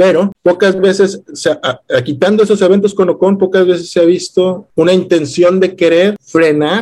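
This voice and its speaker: A man with a Mexican accent speaks in a high voice with ordinary pitch variation, very even loudness and hardly any pauses. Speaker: podcast co-host. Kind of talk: casual chat. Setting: home.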